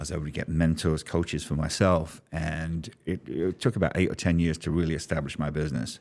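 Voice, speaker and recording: A very deep, low male voice with a London accent, at a fairly quick pace and with fairly even intonation, on a very clean recording with a silent background. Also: hardly any pauses. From London, England. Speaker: business strategist. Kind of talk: interview storytelling.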